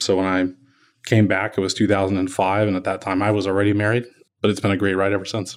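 On a very clean recording with a silent background, a man with an American accent talks very fast at a fairly low pitch, his intonation monotone and flat. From Kansas City, Missouri. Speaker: architect. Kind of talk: interview. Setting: office.

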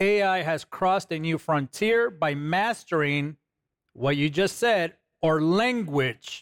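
A man with a non-native accent, high-pitched, very slow, with lively intonation and very even loudness, on a very clean recording with a silent background and a dry, close sound with no echo. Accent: foreign. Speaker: co-host. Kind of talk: religious talk show. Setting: studio with audience.

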